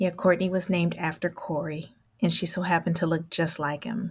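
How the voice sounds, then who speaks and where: On a very clean recording with a silent background, a woman with an American accent speaks at a moderate pace in a somewhat breathy, medium-pitched voice. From Oakland, California. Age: 40s. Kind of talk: personal storytelling interview.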